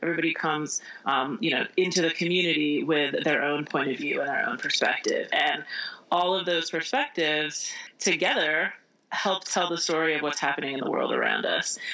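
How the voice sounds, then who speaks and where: Fairly quick speech from a woman, with noticeable background noise. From US Midwest, Indiana. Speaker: author. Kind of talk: interview.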